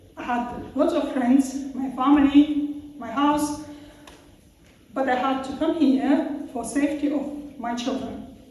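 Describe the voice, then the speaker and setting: Amid audible room echo and noticeable background noise, a woman with a high pitch speaks at a very slow pace in monotone, flat intonation, with big swings in loudness. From Russia. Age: 40s. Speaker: former asylum seeker, panel speaker. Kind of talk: public talk at debate event. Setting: event with audience. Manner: halting.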